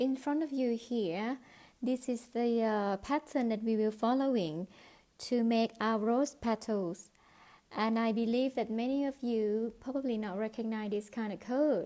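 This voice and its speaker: Speaking with a non-native accent, a woman uses a dark, mellow tone at a fairly high pitch, with ordinary pitch variation and a fairly slow pace. The recording is very clean and the background silent. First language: not English. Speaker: crochet teacher. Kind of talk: tutorial. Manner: halting.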